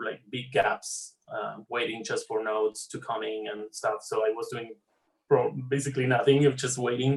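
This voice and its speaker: A somewhat breathy man at medium pitch with a Spanish accent, at a moderate pace. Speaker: animator. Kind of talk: casual chat.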